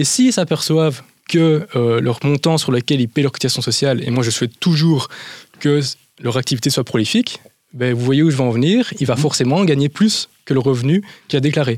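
Recorded with a dry, close sound and no echo, a man talks at a fairly quick pace in a fairly high pitch. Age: 20s. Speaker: business advisor. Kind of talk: interview answers. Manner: halting.

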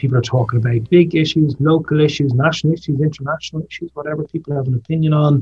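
With music in the background, a man with a South Dublin accent speaks at a very fast pace in a fairly high pitch, with fairly even intonation and hardly any pauses. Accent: south Dublin Irish. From Ireland, south Dublin. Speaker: politician. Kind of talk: interview.

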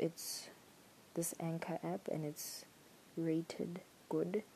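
This woman has a fairly low pitch and a dark, mellow tone. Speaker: podcaster. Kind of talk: solo monologue, casual chat. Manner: rambling, talkative.

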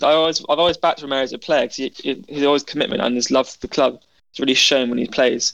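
A man talks very fast with fairly even intonation. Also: fairly high pitch for a man, dry, close sound with no echo. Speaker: podcast co-host. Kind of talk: casual football chat.

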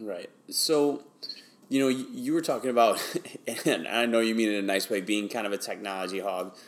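A man with an American accent and an unremarkable speaking voice talks at a moderate pace, medium pitch and ordinary pitch variation. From Wisconsin. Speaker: podcast host, educator. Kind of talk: interview.

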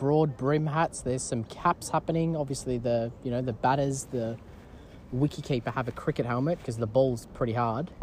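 A playful tone in an Australian accent at a fairly quick pace. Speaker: cricket commentator podcast host. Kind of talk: sports commentary, casual and chatty. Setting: outdoors at a cricket ground. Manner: playful, bantering, filler-heavy, halting with ums.

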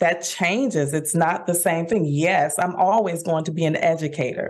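A woman speaks with an American accent. Her pace is fairly slow, and her tone is energetic. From Dallas, Texas (Oak Cliff). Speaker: musician and voice instructor. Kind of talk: interview.

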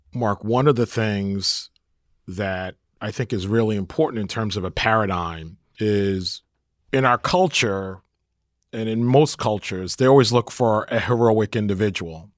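A man with an American accent and a normal speaking voice, fairly low in pitch with ordinary pitch variation at a fairly slow pace, on a very clean recording with a silent background and a dry, close sound with no echo. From Brooklyn, New York. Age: 50s. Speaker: podcast co-host, housing developer. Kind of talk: casual chat.

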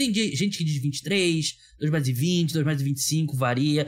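A man's ordinary speaking voice, fairly high in pitch, with ordinary pitch variation and a fairly slow pace. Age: 30s. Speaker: podcast host. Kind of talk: casual chat.

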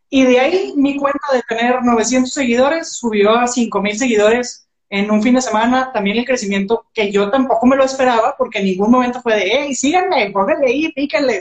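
A woman's high voice with ordinary pitch variation, at a moderate pace. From Mexico, Monterrey. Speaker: entrepreneur and social media coach. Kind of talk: casual interview. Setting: Instagram live stream.

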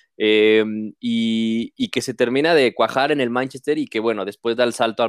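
A man with a Mexican accent and fairly even intonation, on a very clean recording with a silent background. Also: dry, close sound with no echo. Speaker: sports podcast host. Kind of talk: casual chat.

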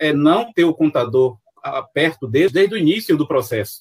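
With a Bahian accent, a man talks at a moderate pace. His fairly high voice has lively intonation. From Salvador, Bahia, Brazil. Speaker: accountant and consultant. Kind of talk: live-streamed panel interview.

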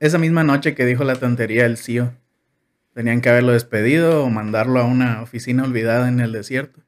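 With fairly even intonation, a normal speaking voice goes at a fairly quick pace. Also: man. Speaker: engineering graduate. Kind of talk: casual chat.

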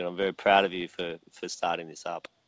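With an Australian accent, a man speaks at a fairly quick pace in a very deep, low pitch. His intonation is monotone and flat, the sound dry and close with no echo. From Australia (Victoria). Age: 40s. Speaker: mead maker. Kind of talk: interview. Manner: halting, many fillers and repetitions.

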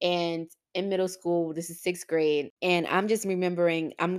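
Over a silent background in a very clean recording, a woman speaks fairly slowly in a fairly low pitch. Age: 20s. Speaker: podcast host. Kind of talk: personal storytelling monologue.

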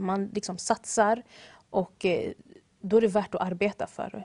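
Here a woman has an ordinary speaking voice, medium in pitch with fairly even intonation. The sound is dry and close with no echo, against a quiet background. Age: young. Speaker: baker and café owner. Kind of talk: interview.

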